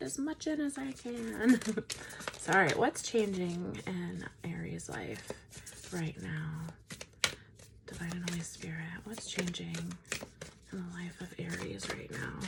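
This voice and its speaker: A woman speaks over noticeable background noise. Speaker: tarot reader. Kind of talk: tarot reading. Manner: slow, with pauses.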